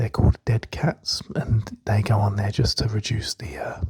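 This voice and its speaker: Moderate pace with noticeable background noise. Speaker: ASMR creator. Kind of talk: tutorial. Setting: quiet flat. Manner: hesitant, many fillers; whispering at times. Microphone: stereo binaural-style mics close to ears.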